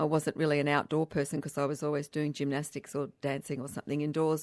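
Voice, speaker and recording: A woman speaks in an Australian accent. The sound is dry and close with no echo, and the recording is very clean against a silent background. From Australia, Canberra. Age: 60s. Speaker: hiking event founder. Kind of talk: radio interview.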